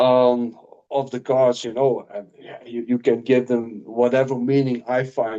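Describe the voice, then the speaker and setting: Using a dark, mellow tone, a man with a non-native accent and medium pitch talks at a fairly slow pace. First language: not English. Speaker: tarot reader. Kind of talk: casual chat. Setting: live stream. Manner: halting.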